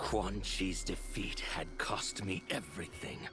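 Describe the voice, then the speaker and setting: A man speaks at a fairly slow pace in a put-on character voice. Clear music plays in the background. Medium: video game. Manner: hard, determined.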